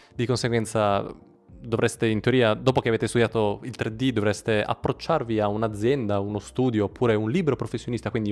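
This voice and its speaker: A man at medium pitch and a moderate pace, with ordinary pitch variation. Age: 20s. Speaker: 3D artist and YouTuber. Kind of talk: vlog-style tutorial. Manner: casual.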